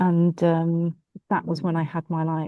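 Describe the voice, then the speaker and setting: A woman speaks with a Bristolian accent. Her pitch is fairly low and her intonation monotone and flat. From England, Bristol. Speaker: law firm partner. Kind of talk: online group discussion.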